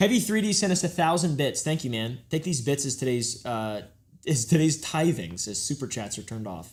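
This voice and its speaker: Somewhat breathy, fairly quick delivery with very wide pitch swings on a very clean recording with a silent background. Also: man, fairly high pitch for a man. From Texas. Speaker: livestream host. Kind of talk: casual chat.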